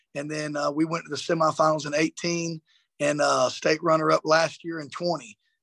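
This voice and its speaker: A man with a Southern US accent speaks in a monotone, flat intonation at a moderate pace, with a dry, close sound, no echo, and a quiet background. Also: fairly high pitch for a man. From South Georgia. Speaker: high school football coach. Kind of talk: interview.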